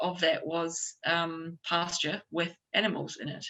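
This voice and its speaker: A woman is speaking. She has a New Zealand accent. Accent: New Zealand twang. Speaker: chef and restaurant owner. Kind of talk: conference panel discussion. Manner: hesitant, many fillers.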